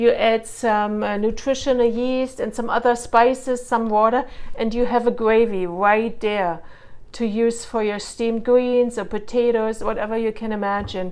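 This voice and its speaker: A woman's fairly high voice with a non-native accent, flat and monotone, at a moderate pace. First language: not English. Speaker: cooking vlogger. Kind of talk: cooking tutorial. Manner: casual, hesitant with fillers.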